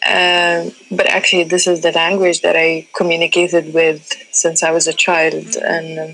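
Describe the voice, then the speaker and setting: Woman at a moderate pace with very even loudness and hardly any pauses, over noticeable background noise. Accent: North African. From Libya. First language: Tamazight. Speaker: artist and art curator. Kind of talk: interview. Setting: phone call from a cafe. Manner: halting, many fillers.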